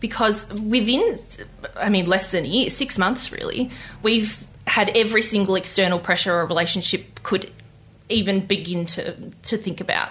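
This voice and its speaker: Speaking in an Australian accent, a woman talks at a moderate pace with ordinary pitch variation. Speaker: interviewee telling love story. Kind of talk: interview.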